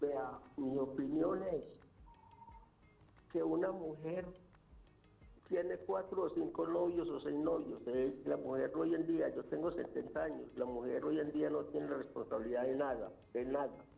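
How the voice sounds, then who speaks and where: A man talking fairly slowly with long, frequent pauses, music in the background and audible room echo. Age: 70s. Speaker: caller. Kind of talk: phone-in opinion. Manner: halting, repeats words.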